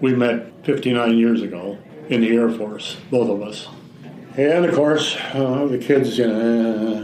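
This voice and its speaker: Over noticeable background noise and audible room echo, a man with an Upper Midwest accent speaks at a very slow pace, his medium pitch showing ordinary pitch variation. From Wisconsin. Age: 80s+. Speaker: caregiver. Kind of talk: interview. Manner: halting.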